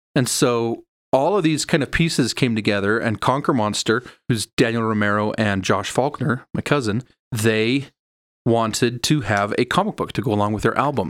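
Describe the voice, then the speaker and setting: A man with a Utah accent at a moderate pace, ordinary pitch variation, and a very clean recording over a silent background. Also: medium pitch for a man. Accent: American, Utah. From Utah (Sandy). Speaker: comic book creator and filmmaker. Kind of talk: casual interview.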